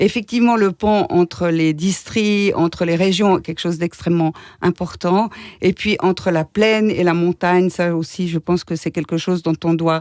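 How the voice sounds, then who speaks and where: A woman with an ordinary speaking voice talks at a moderate pace and fairly low pitch with fairly even intonation, in a very clean recording with a silent background and a dry, close sound with no echo. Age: 60s. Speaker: political candidate, local councillor. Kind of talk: radio interview. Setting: radio studio.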